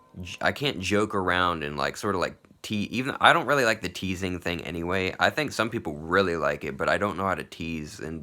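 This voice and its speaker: On a very clean recording with a silent background, a man with a very deep, low pitch speaks at a fairly quick pace with ordinary pitch variation. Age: 30s. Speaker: vlogger. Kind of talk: personal video diary monologue. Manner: halting, many fillers like 'like' and 'you know'.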